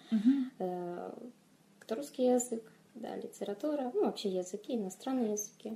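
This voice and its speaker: Somewhat breathy and dark, mellow in tone, a woman's fairly high voice moves at a moderate pace with ordinary pitch variation and long, frequent pauses. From Moldova, Chisinau. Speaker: fantasy author. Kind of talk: interview.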